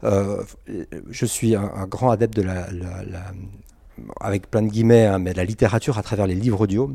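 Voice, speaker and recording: Dark, mellow tone at a fairly quick pace with ordinary pitch variation. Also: man. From Geneva, Switzerland. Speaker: comic book author. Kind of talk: interview. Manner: halting.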